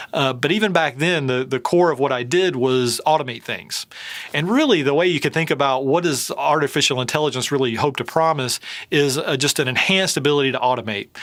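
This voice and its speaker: Speaking at a fairly quick pace with a slight Southern US accent, the man has a fairly high pitch and ordinary pitch variation. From US South. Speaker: tech company CEO. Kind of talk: interview. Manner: hesitant with many fillers.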